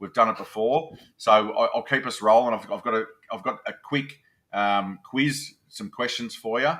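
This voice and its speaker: A man speaks at a moderate pace in a strong Australian accent, his medium-pitched voice bright and sharp with ordinary pitch variation. The recording is very clean, with a silent background. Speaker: podcast host. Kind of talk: interview.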